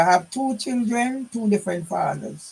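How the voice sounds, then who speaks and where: Talking fairly slowly, a man uses a Jamaican accent. His pitch variation is ordinary. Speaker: vlogger telling family history. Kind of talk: personal monologue. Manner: rambling, halting.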